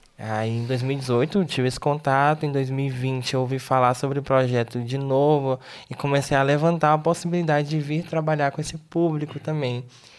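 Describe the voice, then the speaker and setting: This man's tempo is moderate. His voice sits at a medium pitch. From Brazil, Tocantins. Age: 20s. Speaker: missionary. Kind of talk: interview. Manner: halting.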